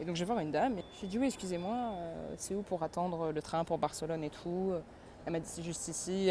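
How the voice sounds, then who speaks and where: A woman with a fairly low pitch, talking at a very fast pace. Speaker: travel vlogger. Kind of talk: casual vlog. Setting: outdoors walking. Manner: casual, hesitant with fillers.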